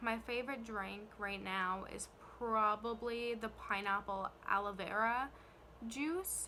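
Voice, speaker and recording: A woman speaks in a fairly high voice with fairly even intonation over noticeable background noise. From Canada, New Brunswick. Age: 20s. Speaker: YouTuber, care worker. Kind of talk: casual vlog Q&A. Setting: filming on camera. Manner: hesitant, many fillers.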